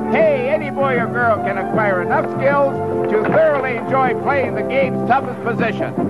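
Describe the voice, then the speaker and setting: Loud music plays behind a man's voice. He talks at a moderate pace. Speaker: hockey instruction narrator. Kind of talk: instructional commentary. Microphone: old recording.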